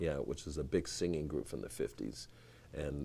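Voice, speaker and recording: A man's very deep, low voice with vocal fry and a dark, mellow tone, at a fairly quick pace with fairly even intonation. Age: 60s. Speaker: saxophonist. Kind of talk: casual interview chat.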